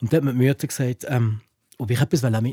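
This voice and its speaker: A man talks at a very fast pace and medium pitch, somewhat breathy, with a dark, mellow tone. His pitch varies in an ordinary way, and the sound is dry and close with no echo. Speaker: podcast host. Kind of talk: casual chat.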